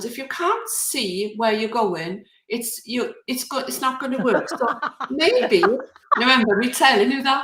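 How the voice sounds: This speaker talks at a fairly slow pace with lively intonation and a Welsh accent. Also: woman, high pitch for a woman.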